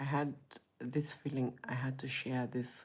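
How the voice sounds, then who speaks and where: Somewhat breathy and very deep, a woman speaks at a fairly slow pace in a dark, mellow tone with monotone, flat intonation. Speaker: motivational vlogger. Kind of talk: personal testimony. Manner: hesitant, halting.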